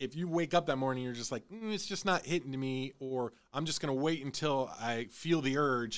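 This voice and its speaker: A man with an American accent speaks at a medium pitch and a moderate pace, with ordinary pitch variation and hardly any pauses, in an unremarkable speaking voice. The recording is very clean, with a silent background. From Illinois. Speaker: podcast host. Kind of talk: casual chat.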